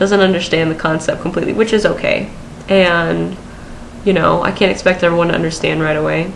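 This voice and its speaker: Both room echo and noticeable background noise can be heard around this woman as she talks. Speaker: vlogger. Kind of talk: personal vlog. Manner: hesitant, many fillers.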